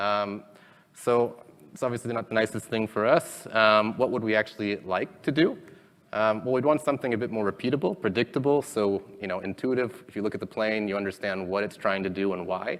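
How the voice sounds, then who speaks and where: A plain, everyday voice from a man, fairly low in pitch, at a fairly quick pace with ordinary pitch variation. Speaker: conference speaker, robotics engineer. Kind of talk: technical conference talk. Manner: many filler ums.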